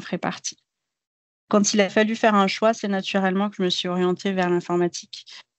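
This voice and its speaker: Her pitch medium and her intonation monotone and flat, a woman talks at a fairly quick pace. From Algeria, Béjaïa. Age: 30s. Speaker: IT project manager. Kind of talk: podcast interview.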